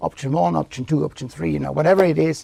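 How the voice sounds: A slightly mellow voice with vocal fry and ordinary pitch variation. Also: man.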